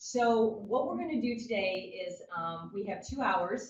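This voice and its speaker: Somewhat breathy, a woman speaks at medium pitch. Her pitch variation is ordinary. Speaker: education official and workshop leader. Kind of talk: online workshop presentation. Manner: fast.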